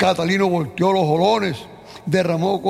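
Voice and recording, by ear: The speaker is reading aloud in a natural voice. The intonation stays fairly even.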